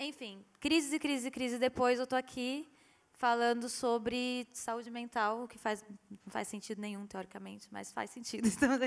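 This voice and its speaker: High-pitched speech from a woman at a moderate pace, with fairly even intonation and big swings in loudness. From Brazil, Rio Grande do Norte (Mossoró). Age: 20s. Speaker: visual artist. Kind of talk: panel discussion. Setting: stage with audience.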